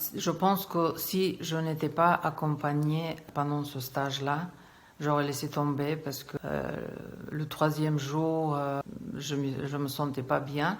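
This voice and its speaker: A woman talks at a very slow pace in a very deep, low pitch. Her intonation is monotone and flat. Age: 60s. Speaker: English teacher, client giving testimonial. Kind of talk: testimony. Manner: hesitant, many filler sounds.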